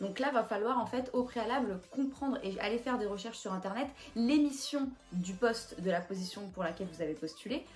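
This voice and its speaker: With music in the background, a woman talks at a fairly quick pace and a fairly high pitch, her intonation lively. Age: 20s. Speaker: YouTuber giving job interview tips. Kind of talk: advice vlog. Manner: casual with frequent hesitations.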